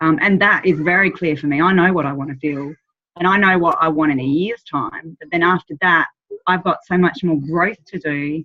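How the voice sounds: A woman's low pitch at a moderate pace, with ordinary pitch variation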